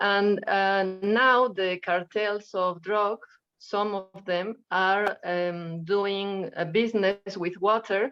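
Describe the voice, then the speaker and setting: With a Spanish accent, a woman speaks very slowly in a flat monotone at medium pitch, with hardly any pauses. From Mexico. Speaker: audience member asking a question. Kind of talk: audience question. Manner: halting.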